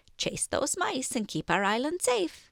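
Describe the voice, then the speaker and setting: Putting on a character voice, a woman speaks high in pitch at a moderate pace, her pitch swinging very widely. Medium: read story. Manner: calm, knowing.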